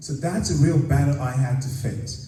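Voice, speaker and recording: A man with a slight Nigerian accent talks at a moderate pace and a medium pitch. Noticeable background noise and audible room echo are present. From northern Nigeria. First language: Hausa. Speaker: actor and filmmaker. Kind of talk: panel Q&A.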